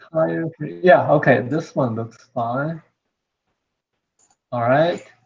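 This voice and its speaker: A somewhat breathy man at a medium pitch, very slow pace, and very wide pitch swings. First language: not English. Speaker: robot hobbyist presenting a project. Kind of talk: online meeting show-and-tell. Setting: video call. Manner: halting.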